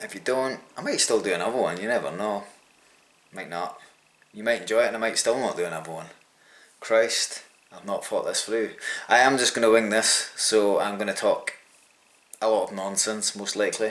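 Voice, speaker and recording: Over noticeable background noise, a man with a Scottish accent talks at a fairly quick pace, with long, frequent pauses. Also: big swings in loudness. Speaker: amateur triathlete and vlogger. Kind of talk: casual vlog talk.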